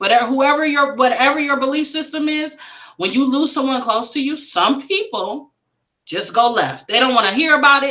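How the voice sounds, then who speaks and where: A woman with an American accent speaks in a raised, projected voice at a high pitch with ordinary pitch variation. Her tone is animated, bright and sharp, and her pace is moderate. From Wisconsin, US Midwest. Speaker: grief coach and author. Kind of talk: interview conversation. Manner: loud.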